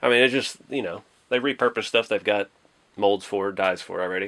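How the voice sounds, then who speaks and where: A man talks at a fairly quick pace and fairly low pitch in a plain, everyday voice. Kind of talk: casual tutorial commentary. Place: home room.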